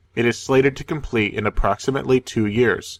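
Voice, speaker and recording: In a normal speaking voice with an American accent, the speaker talks at a fairly quick pace with fairly even intonation. The very clean recording has a silent background and a dry, close sound with no echo. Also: man. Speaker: magic card game news show co-host. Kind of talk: scripted news reading.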